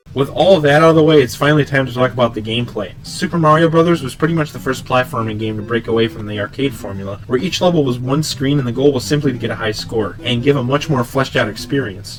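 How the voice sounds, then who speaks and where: A man talks at a very fast pace with ordinary pitch variation and hardly any pauses, with music playing in the background. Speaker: game reviewer. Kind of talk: video game review narration.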